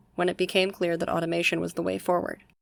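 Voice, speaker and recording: A woman speaks quietly. Music plays in the background. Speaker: university student. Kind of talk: military history narration. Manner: hushed, kept quiet.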